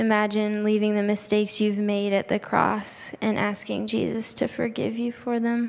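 Speaking at a moderate pace with hardly any pauses, a woman keeps a fairly high, monotone pitch and very even loudness. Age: 20s. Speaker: nursing student and guest speaker. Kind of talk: shared church message with guided prayer.

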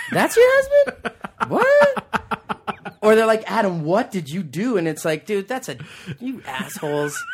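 A man speaks fairly slowly, with noticeable noise in the background. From Calgary, western Canada. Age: 30s. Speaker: comedian. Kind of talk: casual chat. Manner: animated.

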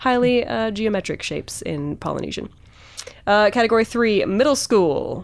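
A woman with a plain, everyday voice, fairly high in pitch, at a moderate pace with lively intonation. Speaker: podcast host. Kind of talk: casual chat.

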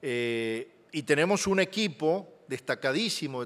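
A man speaks with very wide pitch swings. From Argentina. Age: 60s. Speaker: guest preacher, journalist. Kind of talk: sermon. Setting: church service, also streamed online.

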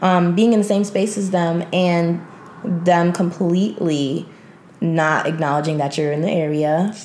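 A woman speaks at a fairly slow pace and a fairly low pitch, with ordinary pitch variation. Noticeable background noise runs under her voice. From New York City. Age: 20s. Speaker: secretary and aspiring publicist. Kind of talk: casual chat.

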